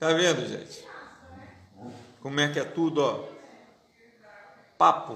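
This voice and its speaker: Male speech at a fairly slow pace, with long, frequent pauses and audible room echo. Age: 50s. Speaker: pastor. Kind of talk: political commentary monologue. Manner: halting.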